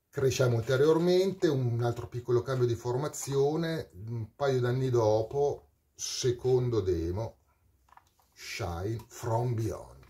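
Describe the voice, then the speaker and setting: A man's dark, mellow, somewhat breathy voice at a very slow pace with ordinary pitch variation. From Parma, northern Italy; northern Italy. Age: 40s. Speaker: metal singer. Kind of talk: storytelling monologue. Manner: animated. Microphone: webcam.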